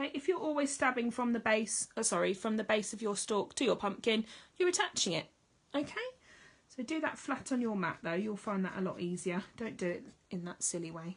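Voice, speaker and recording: In an English accent, the speaker talks at a fairly quick pace in a somewhat breathy voice with lively intonation. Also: woman, fairly high pitch for a woman. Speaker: needle felting teacher. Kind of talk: tutorial. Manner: casual, chatty.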